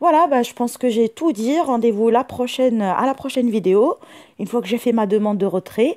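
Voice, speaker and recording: Her tone dark and mellow, the woman speaks at a moderate pace with a fairly high pitch. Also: ordinary pitch variation. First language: not French (speaking French). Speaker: YouTuber. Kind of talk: tutorial. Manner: halting, many fillers.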